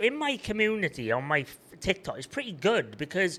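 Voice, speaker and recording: A man with a Welsh accent speaks in a bright, sharp tone, his pitch swinging very widely. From Wales. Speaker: online seller and content creator. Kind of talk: casual chat.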